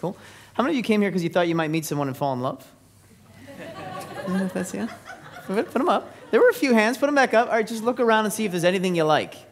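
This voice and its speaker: A man's high, energetic voice, very fast and lively in intonation, over noticeable background noise. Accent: American. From US West Coast, San Francisco Bay Area. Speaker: business speaker. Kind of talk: seminar presentation. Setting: stage with audience. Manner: energetic, interactive.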